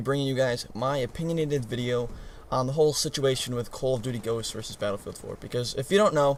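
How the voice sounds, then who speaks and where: A man speaks at a very fast pace. His voice sits at a medium pitch. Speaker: gaming YouTuber. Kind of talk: casual commentary.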